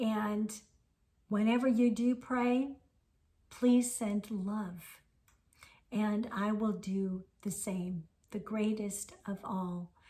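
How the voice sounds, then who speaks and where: A woman's fairly high voice has a dark, mellow tone, somewhat breathy, with fairly even intonation. She speaks at a very slow pace with long, frequent pauses. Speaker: spiritual teacher. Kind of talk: spiritual talk.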